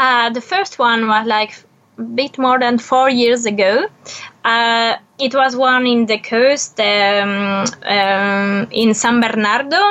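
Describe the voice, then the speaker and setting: Speaking with a French accent, a woman talks at a very slow pace and fairly high pitch. Her pitch variation is ordinary and her loudness very even. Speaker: photo documentarian. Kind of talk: interview. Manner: halting.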